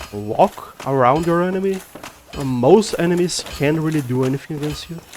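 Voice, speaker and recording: With a non-native accent, a man talks at a moderate pace and fairly high pitch, ordinary pitch variation, over noticeable background noise. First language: Portuguese. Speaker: gaming youtuber. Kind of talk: gameplay commentary. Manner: halting.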